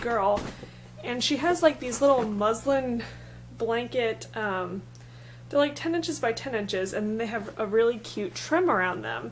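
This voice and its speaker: There is audible room echo as a woman speaks at a moderate pace. Her pitch is fairly high and her intonation lively. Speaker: vlogger. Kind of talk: casual vlog. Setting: at home.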